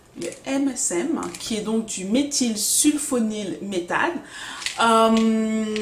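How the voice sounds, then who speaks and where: A woman with a fairly high voice speaks very slowly with lively intonation. There is noticeable background noise and audible room echo. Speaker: hair care vlogger. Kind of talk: casual tutorial vlog.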